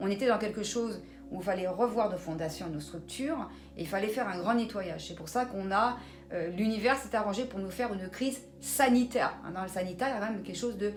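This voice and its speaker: Speaking very fast at a medium pitch, a woman keeps ordinary pitch variation, with noticeable background noise and audible room echo. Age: 60s. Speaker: numerologist. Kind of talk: interview.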